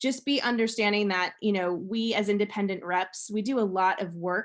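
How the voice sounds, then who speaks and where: Fairly even intonation with an American accent. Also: woman. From US East Coast. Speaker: sales representative and former educator. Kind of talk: online presentation. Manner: fast.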